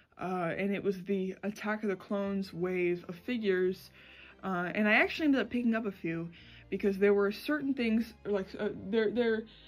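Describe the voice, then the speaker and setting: Faint music plays in the background as a woman speaks with ordinary pitch variation. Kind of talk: casual vlog chat. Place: home room. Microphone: phone near.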